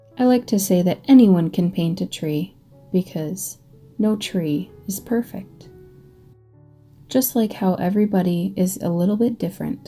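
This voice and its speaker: Soft-spoken, fairly slow speech with an American accent, long frequent pauses and music in the background. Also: woman, medium pitch for a woman, ordinary pitch variation. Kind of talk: ASMR paint-along tutorial. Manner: soft-spoken, calming.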